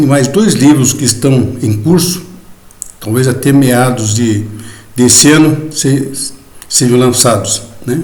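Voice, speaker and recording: Over noticeable background noise and audible room echo, someone speaks at a very slow pace with long, frequent pauses and ordinary pitch variation. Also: man. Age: 70s. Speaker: journalist and lawyer. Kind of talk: video lecture to fellow masons. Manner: hesitant, conversational with fillers.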